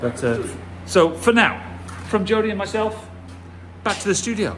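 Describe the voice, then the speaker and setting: A man speaks with a British accent. Audible room echo surrounds his voice. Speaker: car restoration vlogger. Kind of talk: casual vlog commentary. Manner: hesitant, many fillers.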